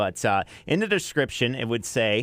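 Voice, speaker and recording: Speaking in an unremarkable speaking voice, a man of medium pitch talks at a moderate pace. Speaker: country radio DJ, afternoon drive host. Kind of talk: radio show host patter. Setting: radio station broadcast. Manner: upbeat, chatty.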